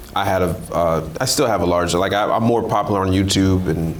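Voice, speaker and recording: Talking at a fairly quick pace, a man with a very deep, low pitch keeps his intonation fairly even amid audible room echo and noticeable background noise. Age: 30s. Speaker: content creator. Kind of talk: casual chat. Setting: hotel room in Dubai. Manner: halting.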